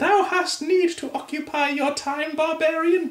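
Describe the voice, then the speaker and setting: A put-on character voice at a high pitch and moderate pace, with slight echo and light background noise. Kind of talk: archaic, theatrical.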